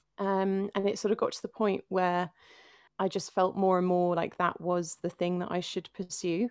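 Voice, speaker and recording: A woman's medium-pitched voice with a London accent, at a moderate pace and in a monotone, flat intonation, with a dry, close sound with no echo on a very clean recording against a silent background. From London (North London, Finchley). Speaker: singer-songwriter and worship leader. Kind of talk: interview conversation.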